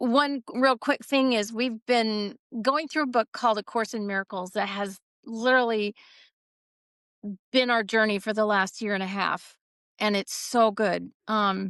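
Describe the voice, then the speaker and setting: Over a quiet background, a woman speaks fairly slowly in an unremarkable speaking voice, fairly high in pitch, with a dry, close sound and no echo. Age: 60s. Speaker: retired farmer. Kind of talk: casual interview chat.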